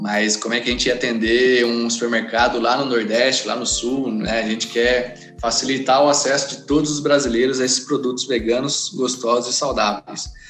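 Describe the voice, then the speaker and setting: Moderate-paced, flat, monotone speech with hardly any pauses, audible room echo and music in the background. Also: man, medium pitch for a man. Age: 30s. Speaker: business founder. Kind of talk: casual interview.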